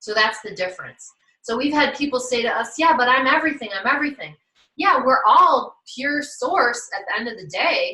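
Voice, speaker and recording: At a moderate pace, a woman with a high pitch speaks in a raised, projected voice, her intonation lively and her volume rising and falling sharply. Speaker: life coach presenting at an online summit. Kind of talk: online workshop presentation. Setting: virtual summit livestream.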